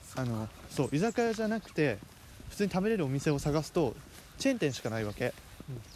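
With very wide pitch swings, a man speaks at a fairly quick pace in a fairly high pitch. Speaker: student podcast host. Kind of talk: casual chat. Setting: outdoors, walking in a park.

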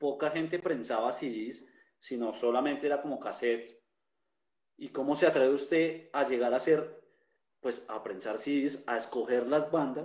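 Using a plain, everyday voice, this man speaks at a fairly high pitch. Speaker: podcast host and festival organizer. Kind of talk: casual chat.

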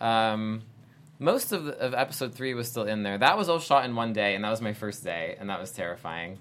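A man's medium-pitched voice with an American accent, ordinary pitch variation and a fairly quick pace, an ordinary speaking voice. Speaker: actor. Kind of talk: casual chat. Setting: studio.

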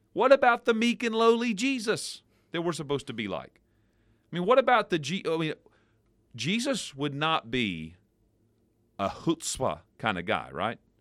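In an American accent, a man speaks at a high pitch and a moderate pace, with very wide pitch swings. Long, frequent pauses break up the speech on a very clean recording with a silent background. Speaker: pastor. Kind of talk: devotional radio talk, casual chat and teaching.

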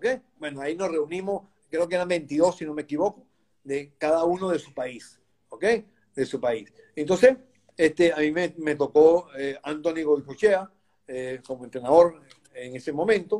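A man with a fairly high pitch and a dark, mellow tone speaks at a moderate pace with ordinary pitch variation. His loudness swings widely, and he takes long, frequent pauses. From Venezuela, Caracas. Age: 60s. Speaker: goalkeeper coach. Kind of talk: interview.

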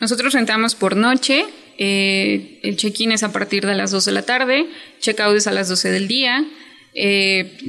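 A woman speaks at a moderate pace and medium pitch, with noticeable background noise. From Chiapas, Mexico. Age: 20s. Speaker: hotel worker and small business owner. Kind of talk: interview.

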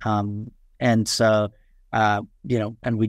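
With a New York accent, a man speaks in a fairly low, flat monotone. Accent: New York American English. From Queens, New York (moved from far western Nepal as a child). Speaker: startup founder and CEO. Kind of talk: interview. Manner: halting, many fillers.

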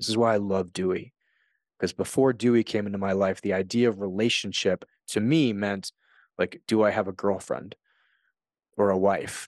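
An ordinary speaking voice at a moderate pace with fairly even intonation, in a dry, close sound with no echo and a quiet background. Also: man. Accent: American. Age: 40s. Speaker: podcast host and author. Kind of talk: solo podcast monologue.

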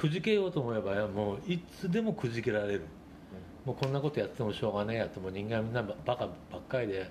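The intonation is lively and the voice somewhat breathy. Everything is delivered at a very fast pace. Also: man, medium pitch for a man. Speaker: rock bar owner and essayist. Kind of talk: casual interview.

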